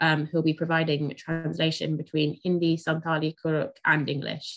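A woman talks at a fairly quick pace. Her pitch is fairly low, and the background is quiet. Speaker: event organiser host. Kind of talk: event introduction. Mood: calm, polite. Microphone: video call.

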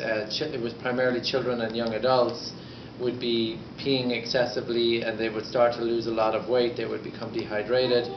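Monotone, flat delivery at a moderate pace with noticeable background noise. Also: man. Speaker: conference speaker. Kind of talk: lecture. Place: hall. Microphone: camera far.

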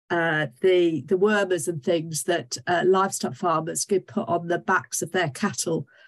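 This woman has an unremarkable speaking voice with a fairly low pitch and ordinary pitch variation. She talks at a fairly slow pace against a quiet background. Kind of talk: lecture. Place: home room. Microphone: webcam.

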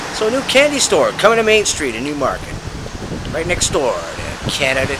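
With an upbeat tone, a man talks at a moderate pace over noticeable background noise. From Canada. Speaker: local community reporter. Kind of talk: community news report to camera. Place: street. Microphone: phone near.

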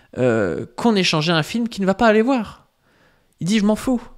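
The speaker's intonation is lively. The background is quiet. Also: man. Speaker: YouTuber. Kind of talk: video reaction and rebuttal to another YouTuber. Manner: filler-heavy, hesitant, conversational. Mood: critical, argumentative. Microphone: studio mic.

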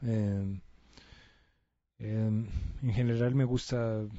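A man's fairly low-pitched voice in monotone, flat intonation, against a quiet background. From Colombia. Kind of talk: casual talk to camera. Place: home room. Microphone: handheld.

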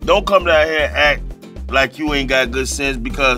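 Clear music is playing in the background. Over it, a man talks. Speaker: interview guest. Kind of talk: interview answer. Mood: playful, laughing storyteller. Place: studio.

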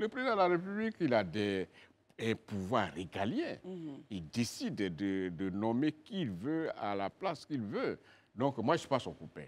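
Speaking at a fairly slow pace, a man at medium pitch swings very widely up and down in tone. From Côte d'Ivoire, western mountains region (Man); Côte d'Ivoire. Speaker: politician, regional governor; politician. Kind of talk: TV interview. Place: studio. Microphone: lapel.

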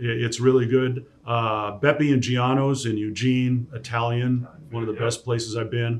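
With an American accent, a man speaks in a flat, monotone way at a medium pitch and a fairly slow pace. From US Pacific Northwest, Tacoma; US Pacific Northwest. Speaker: sports play-by-play broadcaster; podcast guest. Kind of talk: casual interview. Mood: relaxed, fond recollection. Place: studio.

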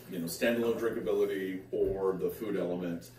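A man's dark, mellow tone at a fairly low pitch, with ordinary pitch variation and audible room echo.

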